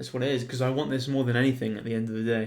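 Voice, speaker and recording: Someone speaks at a very fast pace with a British accent. Room echo is audible. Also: man. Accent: UK. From Spain. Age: 20s. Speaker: entrepreneur and video editor. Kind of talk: casual vlog monologue. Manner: animated.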